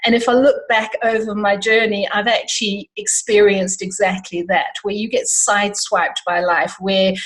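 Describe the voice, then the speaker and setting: Against noticeable background noise, a woman speaks at a moderate pace and medium pitch with fairly even intonation. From South Africa. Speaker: life coach. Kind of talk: interview.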